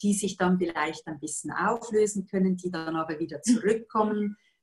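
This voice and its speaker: A somewhat breathy woman with a Swiss accent, fairly low in pitch, with ordinary pitch variation and a moderate pace, over a quiet background. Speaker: yoga teacher and workshop facilitator; yoga teacher, coach. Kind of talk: interview answer. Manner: cheerful, calm, competent. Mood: calm, warm, reflective. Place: home room. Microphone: video call.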